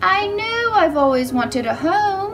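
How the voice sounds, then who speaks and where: A squeaky, put-on character voice comes through over clear background noise. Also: woman. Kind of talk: bedtime story. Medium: read story. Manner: innocent, wistful.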